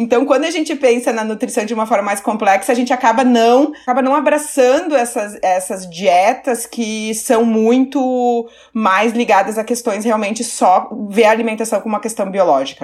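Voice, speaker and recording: Her pitch is fairly high for a woman, moving with ordinary variation at a moderate pace. Noticeable background noise sits behind her voice. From southern Brazil, Caxias do Sul (Rio Grande do Sul). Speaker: nutrition professor. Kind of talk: interview, academic explanation.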